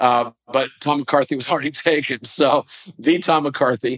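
A man with a normal speaking voice at a fairly high pitch, fairly slow pace and ordinary pitch variation, in dry, close sound with no echo. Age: 60s. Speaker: entrepreneur and investor. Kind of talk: interview.

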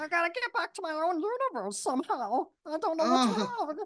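An extremely high put-on character voice with very wide pitch swings at a fairly quick pace. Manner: creepy, distressed.

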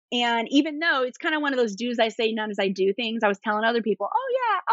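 A woman with an American accent talks very fast in a high pitch, her intonation lively. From US East Coast. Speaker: attorney and entrepreneur. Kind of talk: casual interview chat. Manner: fast talker.

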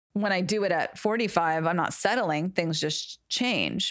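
A woman with an unremarkable speaking voice speaks at a fairly low pitch and a fairly slow pace, with fairly even intonation. The recording is very clean, with a silent background. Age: 40s. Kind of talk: casual chat.

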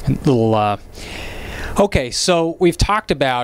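Lively intonation colors a man's medium-pitched speech amid noticeable background noise. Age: 30s. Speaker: real estate podcast host, realtor. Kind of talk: casual interview.

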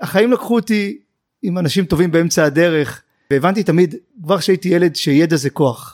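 The man's voice is high-pitched and fairly quick, with ordinary pitch variation and a dry, close sound with no echo. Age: 40s. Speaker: investment manager. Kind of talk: interview.

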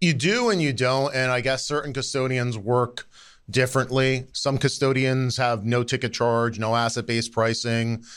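The audio is very clean, with a silent background. It carries an unremarkable speaking voice at a moderate pace, with fairly even intonation. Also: man, medium pitch for a man, very even loudness. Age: 40s. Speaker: financial industry consultant. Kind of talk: casual interview.

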